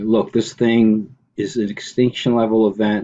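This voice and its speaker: A normal speaking voice from a man, medium in pitch, at a moderate pace. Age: 50s. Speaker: online commentator. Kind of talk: screen-share video commentary.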